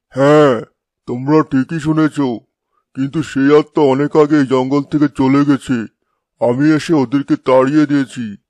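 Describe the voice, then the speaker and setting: The speaker puts on a cartoonish character voice. The pace is moderate and the background quiet. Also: man, fairly high pitch for a man. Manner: sly, laughing.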